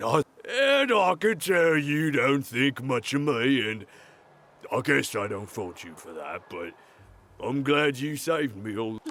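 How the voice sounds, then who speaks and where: Putting on a raspy character voice, a man speaks at a fairly slow pace and fairly high pitch, with very wide pitch swings and big swings in loudness. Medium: video game. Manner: nervous, stammering, laughing awkwardly.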